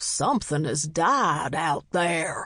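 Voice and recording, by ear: A put-on character voice growls at a middle pitch.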